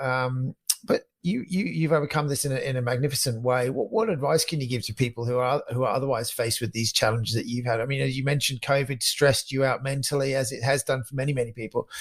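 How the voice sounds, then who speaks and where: Very fast speech with hardly any pauses, ordinary pitch variation and noticeable background noise. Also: man, medium pitch for a man. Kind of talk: podcast interview questions.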